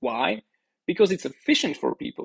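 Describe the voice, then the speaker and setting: A man speaks with a Slovak accent. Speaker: bitcoin educator, startup founder. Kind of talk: podcast interview.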